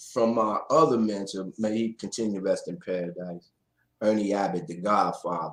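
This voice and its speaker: Against a quiet background, a man talks at a moderate pace in a plain, everyday voice. His pitch is fairly low, with ordinary variation. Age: 60s. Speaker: DJ and live show host. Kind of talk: casual interview on a livestream. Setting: live stream.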